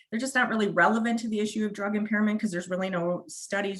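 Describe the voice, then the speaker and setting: A woman with a Wisconsin accent at a very fast pace, with fairly even intonation. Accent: northern US (Wisconsin). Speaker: prosecutor. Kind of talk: webinar presentation. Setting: online webinar.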